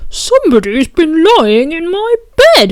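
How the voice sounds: At a fairly slow pace, a woman uses a put-on character voice pitched extremely high, with very wide pitch swings.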